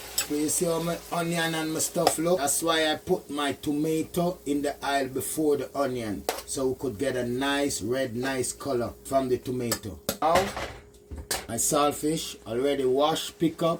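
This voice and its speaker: Noticeable background noise sits behind this man's voice. His pitch is fairly high, with ordinary pitch variation. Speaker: home cook. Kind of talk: cooking tutorial talk to camera. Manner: upbeat.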